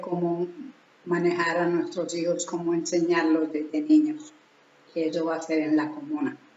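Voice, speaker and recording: Speaking at a fairly slow pace, a woman has a fairly low pitch and fairly even intonation. Audible room echo and noticeable background noise fill the recording. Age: 70s. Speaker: spiritual teacher. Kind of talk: religious teaching talk. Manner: halting.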